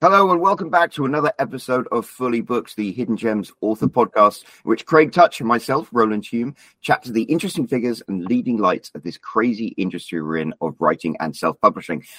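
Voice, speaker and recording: With vocal fry and a bright, sharp tone, a man talks fairly quickly at medium pitch with very wide pitch swings and hardly any pauses, in a dry, close sound with no echo. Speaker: podcast host. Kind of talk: casual interview chat.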